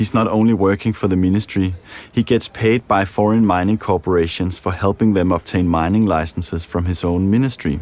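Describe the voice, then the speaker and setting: With a Danish accent, a man of very deep, low pitch talks at a fairly quick pace in fairly even intonation. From Denmark. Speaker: documentary filmmaker. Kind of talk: documentary narration; interview.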